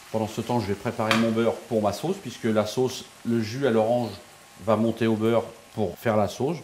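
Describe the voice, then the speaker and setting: Light background noise sits behind the voice. The speaker, a man, keeps a moderate pace. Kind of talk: tutorial. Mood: calm, assured. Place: kitchen. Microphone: lapel.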